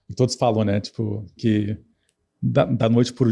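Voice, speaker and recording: A man's somewhat breathy voice, dark and mellow in tone, medium in pitch, with monotone, flat intonation. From grew up abroad, English-speaking schooling. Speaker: tech company executive. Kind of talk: podcast interview. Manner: many fillers and repetitions.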